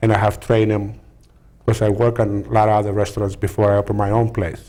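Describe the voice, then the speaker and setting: A man's very fast, monotone, flat delivery in a strong Greek accent, somewhat breathy, with a dark, mellow tone. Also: fairly low pitch for a man, very even loudness. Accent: heavy Greek. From Greece (Peloponnese). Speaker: restaurant owner. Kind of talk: talk show interview. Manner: halting.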